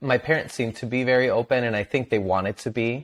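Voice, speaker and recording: A man with a Spanish accent, speaking at a fairly quick pace. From Venezuela. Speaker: mental health advocate and content creator. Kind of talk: interview.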